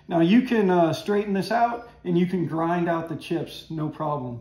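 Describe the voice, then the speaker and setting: A man with a high pitch talks at a moderate pace. There is ordinary pitch variation and audible room echo. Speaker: woodworking hobbyist host. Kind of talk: tutorial. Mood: relaxed, enthusiastic. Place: workshop. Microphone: camera far.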